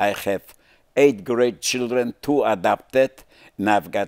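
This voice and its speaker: Against a quiet background, a man talks at a very slow pace, and the sound is dry with no echo. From Poland. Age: 90s. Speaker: Holocaust survivor; interviewee. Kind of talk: interview. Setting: studio. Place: studio.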